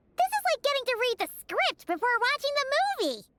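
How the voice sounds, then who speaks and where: Squeaky and extremely high, a put-on character voice rattles along at a fairly quick pace. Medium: video game. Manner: excitable, quick.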